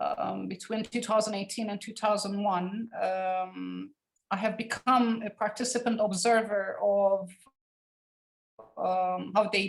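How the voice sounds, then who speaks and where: In a Turkish Cypriot accent, a woman speaks fairly slowly at a medium pitch with fairly even intonation. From Cyprus (Turkish Cypriot community). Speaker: academic researcher. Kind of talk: academic seminar lecture. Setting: online seminar. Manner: halting, many fillers.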